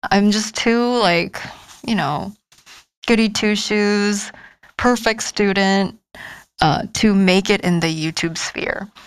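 A woman with a Korean accent at a medium pitch, very slow with long, frequent pauses and ordinary pitch variation, in a very clean recording with a silent background. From South Korea. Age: 20s. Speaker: PhD student. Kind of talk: casual interview.

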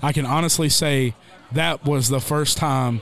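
Fairly even intonation marks the speech of a man with a Southern US accent. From Tennessee. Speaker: country singer. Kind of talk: storytelling.

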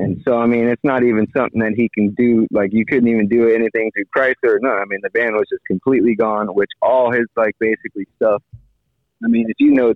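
An unremarkable speaking voice, a man with an American accent talks fairly quickly at a medium pitch with fairly even intonation. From Miami, Florida. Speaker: fishing captain. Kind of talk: casual interview. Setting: phone call.

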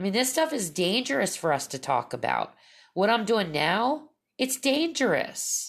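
A woman with vocal fry speaks at a moderate pace in an animated tone, her medium-pitched voice swinging very widely. The recording is very clean, with a silent background. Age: 50s. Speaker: podcaster on spiritual and paranormal topics. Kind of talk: solo monologue.

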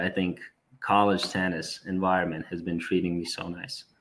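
On a very clean recording with a silent background, a man with a Serbian accent speaks at a moderate pace in a very deep, low pitch with monotone, flat intonation. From Serbia, Belgrade. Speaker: college tennis player. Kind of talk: casual chat.

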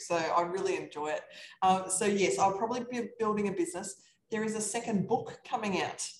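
A woman speaks with an Australian accent. Her voice is somewhat breathy. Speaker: real estate investor. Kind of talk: casual chat.

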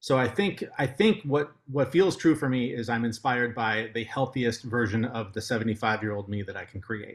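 Somewhat breathy male speech at medium pitch, fairly quick, with hardly any pauses and ordinary pitch variation. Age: 40s. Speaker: podcast host and health advocate. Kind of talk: interview.

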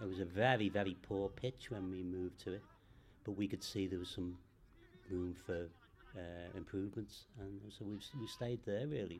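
A man with a Liverpool accent, very deep and low in pitch, fairly even in intonation, at a moderate pace. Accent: Scouse. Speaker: football club secretary. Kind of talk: interview. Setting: football ground.

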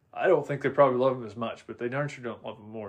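With an American accent, a man speaks in an unremarkable speaking voice, his intonation fairly even. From Oregon. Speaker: horse trainer. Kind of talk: casual chat. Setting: home music room.

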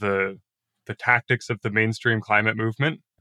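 Recorded very clean, dry and close with no echo and a silent background, a man with an American accent speaks at a moderate pace in a bright, sharp tone. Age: 20s. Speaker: former youth climate activist. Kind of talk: interview.

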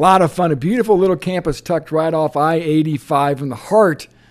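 Over a silent background in a very clean recording, a man with a Midwestern American accent speaks at a fairly quick pace with ordinary pitch variation. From Indiana. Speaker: college football writer. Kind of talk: casual interview. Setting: on location at a convention.

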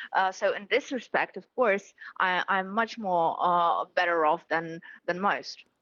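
This woman has a Ukrainian accent, a medium pitch and ordinary pitch variation. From Ukraine. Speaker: politician. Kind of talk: news interview. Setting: remote interview from Kyiv.

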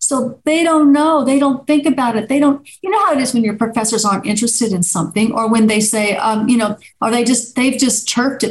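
A woman speaks with a plain, everyday voice. Her pitch is fairly high, with ordinary variation. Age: 60s. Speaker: neuropsychiatrist and author. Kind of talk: interview.

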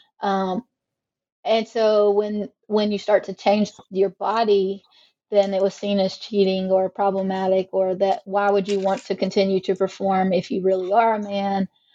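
A woman with an American accent speaks at a moderate pace and medium pitch in a monotone, flat way, her dark, mellow tone caught in a dry, close sound with no echo against a quiet background. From US South, South Carolina. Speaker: sociology professor. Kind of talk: interview.

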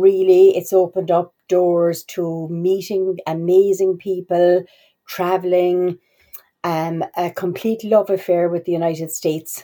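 The tone is dark and mellow, with an Irish accent. Intonation stays monotone and flat. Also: woman, fairly low pitch for a woman, fairly slow pace. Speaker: university international office staff. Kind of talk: podcast interview. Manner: halting, many fillers.

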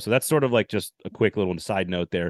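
In a normal speaking voice, someone talks at a fairly quick pace over a quiet background, the sound dry and close with no echo. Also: man. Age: 40s. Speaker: sports podcast host. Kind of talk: casual chat.

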